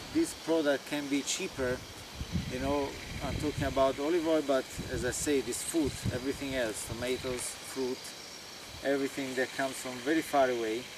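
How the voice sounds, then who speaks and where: A man's medium-pitched voice with an Italian accent, moderate in pace and fairly even in intonation, broken by long, frequent pauses over noticeable background noise. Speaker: farmer. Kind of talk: informal talk to visiting group. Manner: halting.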